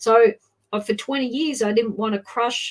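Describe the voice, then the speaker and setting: With an Australian accent, a woman speaks at a moderate pace. Her fairly high voice shows ordinary pitch variation. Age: 60s. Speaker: adoption advocate. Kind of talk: interview testimony.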